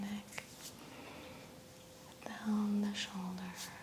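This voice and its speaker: Soft-spoken and calm in tone, a woman talks at a very slow pace. Noticeable background noise runs underneath. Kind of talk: soft-spoken ASMR massage narration. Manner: soft-spoken, calm, slow.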